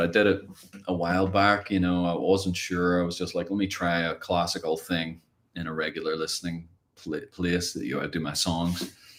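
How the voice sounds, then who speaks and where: With a Northern Irish accent, a man talks at a moderate pace in a very deep, low voice with fairly even intonation. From Ireland. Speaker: guitar teacher. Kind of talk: live stream Q&A. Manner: casual, rambling.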